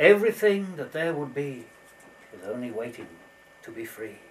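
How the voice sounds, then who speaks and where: Noticeable background noise runs beneath a playful tone. The pitch swings very widely. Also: man. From Scottish Borders. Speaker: storyteller. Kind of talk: storytelling for children. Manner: playful, whimsical.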